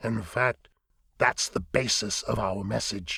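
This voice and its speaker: Putting on a raspy character voice, a man talks at a fairly slow pace with fairly low pitch and fairly even intonation. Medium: read story. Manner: grave, formal.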